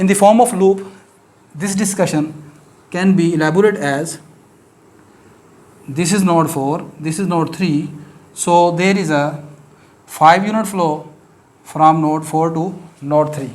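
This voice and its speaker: In a Pakistani accent, the speaker talks at a fairly slow pace with fairly even intonation and long, frequent pauses, amid audible room echo. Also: man, high pitch for a man. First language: Urdu. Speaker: mathematics teacher. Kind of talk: lecture. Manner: hesitant, many fillers.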